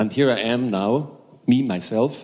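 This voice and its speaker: A man with a German accent at a very slow pace, medium pitch and ordinary pitch variation. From Germany. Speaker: hypnosis and NLP trainer. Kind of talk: stage talk to seminar audience. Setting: stage with audience. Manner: halting.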